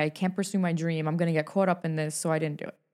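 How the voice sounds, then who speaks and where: A woman speaks with a New York accent. The recording is very clean, with a silent background. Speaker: author and talk show host. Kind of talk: casual chat. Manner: animated.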